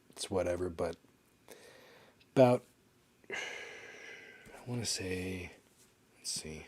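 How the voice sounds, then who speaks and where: A man's very deep, low voice, somewhat breathy, fairly slow with long, frequent pauses and ordinary pitch variation. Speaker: podcaster. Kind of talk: casual monologue. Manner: halting, many fillers; trying to talk slower.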